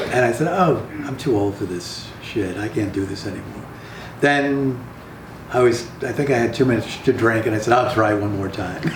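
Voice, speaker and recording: Noticeable background noise and audible room echo accompany a man speaking at medium pitch and a moderate pace. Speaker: playwright. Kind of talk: casual interview.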